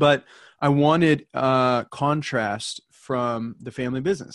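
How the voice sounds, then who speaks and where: A man speaks with a normal speaking voice. His pitch is medium and his intonation fairly even. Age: 30s. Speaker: independent insurance agency owner. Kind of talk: casual chat.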